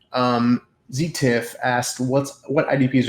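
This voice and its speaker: A man talks with monotone, flat intonation. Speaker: fantasy football analyst. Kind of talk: Q&A session. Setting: voice chat. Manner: fast.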